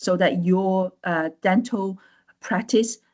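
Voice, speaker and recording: A woman with a Chinese accent, medium pitch, ordinary pitch variation and a fairly slow pace. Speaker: AI lecturer. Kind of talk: webinar presentation. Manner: halting, many fillers and repetitions.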